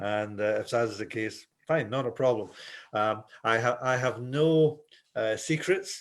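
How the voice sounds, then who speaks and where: A man with a Scottish accent at a fairly slow pace. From Scotland. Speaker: volleyball referee instructor. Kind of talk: webinar presentation. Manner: hesitant, repeating words.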